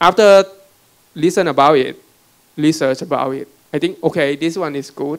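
A man with a Thai accent at a moderate pace, ordinary pitch variation and long, frequent pauses, against a quiet background. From Thailand. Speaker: robotics startup CEO; panelist. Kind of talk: panel talk with slides. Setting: conference room with audience. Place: hall. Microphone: handheld.

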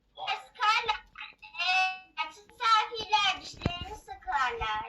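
A woman puts on a squeaky character voice. She speaks very slowly over music in the background. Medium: puppet show. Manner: blunt, teasing, loud.

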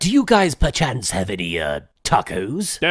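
At a moderate pace, a man speaks with a fairly high pitch and very wide pitch swings. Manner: prim, polite.

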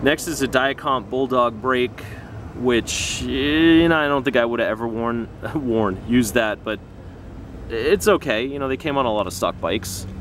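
A man speaks at a moderate pace with ordinary pitch variation. The sound is dry with no echo, with light background noise. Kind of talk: casual show-and-tell commentary. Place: street. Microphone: phone near.

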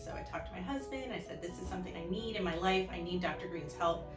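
A woman speaks with an American accent over clear background music. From Orlando, Florida. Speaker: fifth grade teacher. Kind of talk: patient testimonial to camera. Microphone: phone near.

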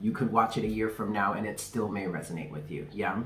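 A man talks at a fairly quick pace. Light background noise and audible room echo are present. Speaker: tarot reader, channel host. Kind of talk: casual vlog chat.

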